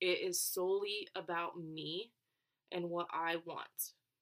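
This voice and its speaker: In an American accent, a woman talks at a very slow pace. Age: 20s. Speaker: podcast host and college student. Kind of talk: casual solo podcast monologue.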